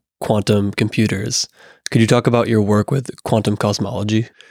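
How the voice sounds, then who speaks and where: In a dry, close sound with no echo, a man with an unremarkable speaking voice talks at a fairly low pitch with fairly even intonation. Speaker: podcast host. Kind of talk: interview.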